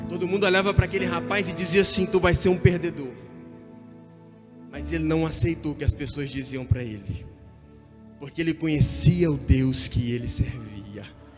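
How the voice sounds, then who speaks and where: With music in the background, a man at a fairly high pitch talks with very wide pitch swings and long, frequent pauses. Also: moderate pace. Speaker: preacher. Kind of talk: sermon.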